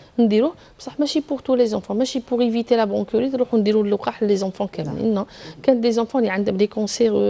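Very fast speech in an Algerian accent with ordinary pitch variation. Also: woman. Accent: Algerian Arabic with French code-switching. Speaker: pediatric surgeon; guest. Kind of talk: TV health interview. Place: studio. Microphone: lapel.

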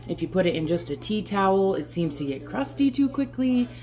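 Faint music plays behind a woman speaking at a fairly low pitch. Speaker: homesteading vlogger. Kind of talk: casual vlog chat. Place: kitchen.

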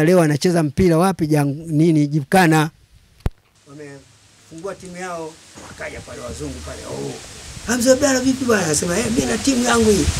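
Over noticeable background noise, a man with a high pitch speaks at a moderate pace, his intonation lively and his loudness swinging widely. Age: 80s+. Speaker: football fan. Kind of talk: casual chat. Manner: animated. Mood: lively storytelling. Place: home room. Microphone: handheld.

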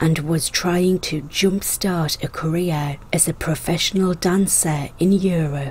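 Against noticeable background noise, a woman with a fairly low pitch speaks in a dramatic tone with fairly even intonation. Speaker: history channel narrator. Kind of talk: dramatic scripted history narration of scandalous lives. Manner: storytelling with dramatic emphasis on twists; measured, polished documentary delivery.

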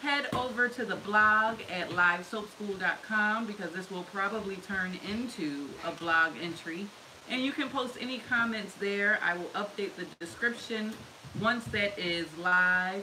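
A woman speaks fairly slowly, her pitch varying in an ordinary way, with noticeable background noise behind her. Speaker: soap maker hosting a live stream. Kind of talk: casual live-stream tutorial chat. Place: workshop. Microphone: camera far.

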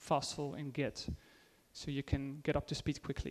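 A man speaks with a Dutch accent. His pace is moderate. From Netherlands. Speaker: IT consultant and conference speaker; conference speaker. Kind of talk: conference talk; tech talk presentation. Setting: stage with audience. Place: hall.

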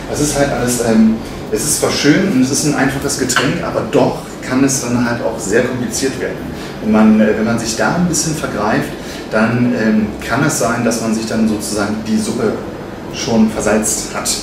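A man amid audible room echo and noticeable background noise. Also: ordinary pitch variation, moderate pace. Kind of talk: interview answer. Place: bar.

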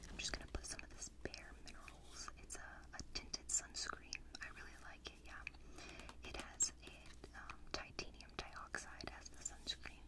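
Whispering, a woman speaks. Her pace is moderate. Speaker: ASMR creator. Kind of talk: ASMR personal attention roleplay. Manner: whispered. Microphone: studio mic.

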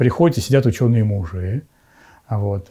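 Against a quiet background, a man's dark, mellow, somewhat breathy voice moves at a moderate pace with ordinary pitch variation. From Moscow region, Russia. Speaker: bishop. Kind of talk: interview testimony. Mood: calm, warm, slightly amused. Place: home room.

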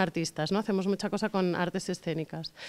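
A woman talks at a fairly quick pace with a Catalan accent. Her pitch varies in an ordinary way, and the background is quiet. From Catalonia, Barcelona. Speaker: science communicator, company director; interviewee. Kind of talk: interview. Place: hall. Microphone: handheld.

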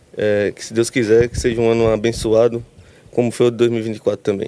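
A man with a dark, mellow tone talks at a moderate pace in a dry sound with no echo. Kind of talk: interview answer. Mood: calm, modest, looks down. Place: stadium. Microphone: handheld.

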